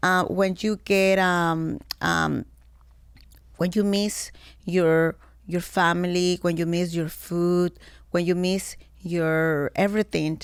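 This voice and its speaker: In a very clean recording with a silent background, a woman with a Mexican accent speaks at a very slow pace with long, frequent pauses, fairly low in pitch, with monotone, flat intonation and very even loudness. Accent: Mexican Spanish accent, noticeable. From Mexico. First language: Spanish. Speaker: former model. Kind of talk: interview conversation. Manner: halting, broken English.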